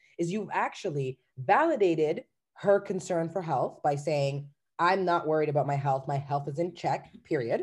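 At a moderate pace, a woman with a fairly low pitch and a normal speaking voice talks with ordinary pitch variation. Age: 30s. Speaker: life coach. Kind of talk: casual chat.

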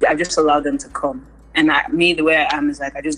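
At a fairly quick pace, a woman with an American accent speaks through noticeable background noise. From US and Lagos, Nigeria. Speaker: singer and rapper. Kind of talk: interview. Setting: remote interview.

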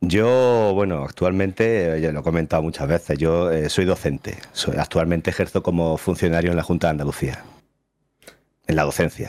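A man's very deep, low voice moves at a moderate pace and varies in pitch in an ordinary way. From Spain, Andalusia (Jaén). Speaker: streamer and teacher. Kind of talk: casual interview chat.

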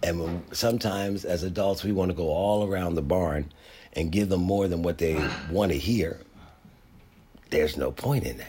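A man's very deep, low voice, dark and mellow, somewhat breathy, with ordinary pitch variation, a moderate pace and long, frequent pauses. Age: 60s. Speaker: podcast host. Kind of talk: solo monologue.

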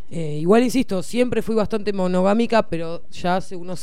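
In a room with audible echo, a woman with a fairly low pitch speaks at a moderate pace using lively intonation. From Argentina, Bahía Blanca. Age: 30s. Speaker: podcast host. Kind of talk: casual interview.

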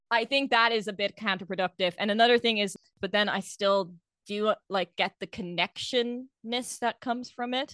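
In a quiet background with a dry, close sound and no echo, a woman speaks in a bright, sharp tone with ordinary pitch variation. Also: fairly high pitch for a woman, moderate pace. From outside the UK, expat background. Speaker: podcast co-host. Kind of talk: casual chat.

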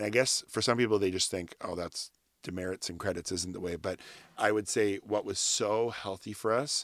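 Fairly low in pitch, a man speaks at a fairly quick pace with fairly even intonation, in an unremarkable speaking voice. The recording is very clean, with a silent background. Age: 40s. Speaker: youth ministry worker. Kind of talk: casual chat. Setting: home closet recording.

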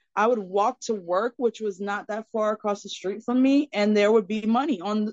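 With an American accent and an ordinary speaking voice, a woman talks at fairly high pitch with ordinary pitch variation. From Florida, US. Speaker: life coach. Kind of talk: casual chat.

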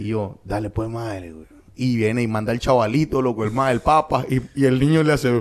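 Speaking with a Nicaraguan accent, a man talks at a fairly quick pace in a medium pitch, with ordinary pitch variation and big swings in loudness. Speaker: comedian. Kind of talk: casual chat.

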